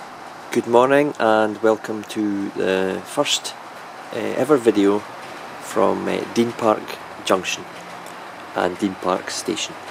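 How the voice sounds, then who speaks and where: Someone with a Scottish accent speaks at a very slow pace, pausing long and often. Intonation stays fairly even, and background noise is noticeable. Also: man, fairly low pitch for a man. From Scotland. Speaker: model railway hobbyist. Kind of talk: video walkthrough of a layout. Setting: loft. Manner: casual, hesitant with fillers.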